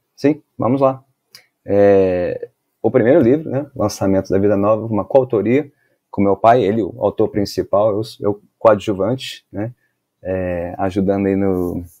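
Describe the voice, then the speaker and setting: A man with a Carioca accent at a fairly low pitch, fairly slow pace and ordinary pitch variation. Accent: carioca Brazilian Portuguese. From Brazil, Rio de Janeiro. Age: 40s. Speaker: pastor and author. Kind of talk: podcast interview.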